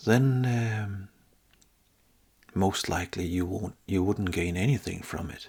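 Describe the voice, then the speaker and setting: A man with a fairly low, somewhat breathy voice and ordinary pitch variation speaks at a fairly slow pace, leaving long, frequent pauses. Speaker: spiritual teacher. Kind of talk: guided spiritual talk. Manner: halting.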